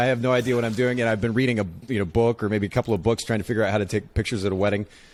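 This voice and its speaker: Over noticeable background noise, the speaker keeps a fairly even intonation. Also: man. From Japan. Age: 40s. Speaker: photography business owner and podcaster. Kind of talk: interview. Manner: halting.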